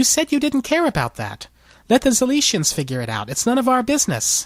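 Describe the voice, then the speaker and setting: A female-sounding put-on character voice, high in pitch and fairly quick, on a very clean recording with a silent background. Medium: read story. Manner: dry, blunt.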